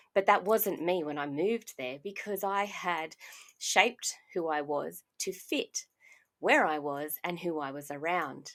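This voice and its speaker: On a very clean recording with a silent background, a woman speaks in an Australian accent. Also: fairly low pitch for a woman, ordinary pitch variation, fairly slow pace. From Australia (Brisbane area). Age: 40s. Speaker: podcast host and life coach. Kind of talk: personal monologue podcast.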